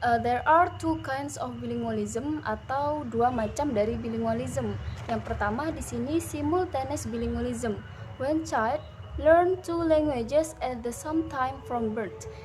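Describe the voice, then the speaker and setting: A woman speaking at a fairly slow pace, with audible room echo. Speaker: university student presenter. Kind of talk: class presentation. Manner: hesitant, frequent fillers.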